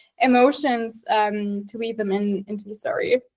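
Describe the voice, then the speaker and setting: The woman talks with a German accent. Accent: German, non-native English. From Germany. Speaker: writer. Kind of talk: interview. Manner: halting, many fillers.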